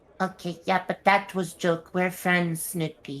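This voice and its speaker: A female-sounding voice puts on a character voice at a medium pitch. The intonation is monotone and flat, and the pace fairly slow. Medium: actual play. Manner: halting, stammering.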